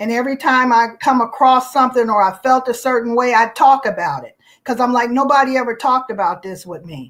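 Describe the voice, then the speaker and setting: At a fairly quick pace with hardly any pauses, a woman speaks in a high pitch with ordinary pitch variation. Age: 60s. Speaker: retired YouTuber, guest. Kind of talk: casual chat.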